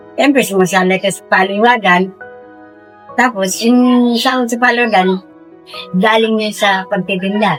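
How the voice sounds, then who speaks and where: Music plays in the background as a woman speaks at a fairly slow pace with ordinary pitch variation. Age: 70s. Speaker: street food vendor, small business owner. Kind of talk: interview answer. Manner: casual, conversational.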